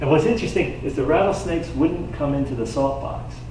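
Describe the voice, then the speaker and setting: Amid audible room echo and noticeable background noise, a man talks fairly quickly at a fairly high pitch. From rural New York, Hillburn area. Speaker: environmental activist and local speaker. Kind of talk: slide-show talk to audience. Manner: animated.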